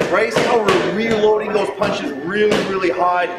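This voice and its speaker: There is loud background noise as a man speaks. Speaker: boxing coach. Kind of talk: tutorial. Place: gym.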